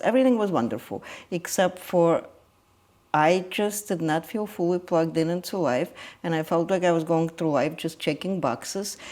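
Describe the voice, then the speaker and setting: Fairly low female speech with a Russian accent and lively intonation at a moderate pace, in a very clean recording with a silent background. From Ukraine. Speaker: energy healer. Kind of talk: interview conversation. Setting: guest's home. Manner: hesitant, with fillers.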